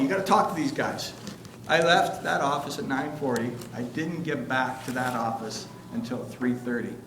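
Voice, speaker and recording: Fairly quick speech from a man, with noticeable background noise and audible room echo. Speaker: statistics instructor. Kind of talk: lecture with personal anecdote. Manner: fast; animated.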